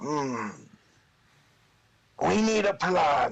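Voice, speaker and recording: A man speaks in a put-on character voice with very wide pitch swings. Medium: actual play. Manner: bossy, contemptuous.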